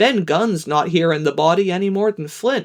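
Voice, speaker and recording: A woman uses a put-on character voice at a medium pitch and a moderate pace. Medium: read story. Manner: plain sailor's grammar.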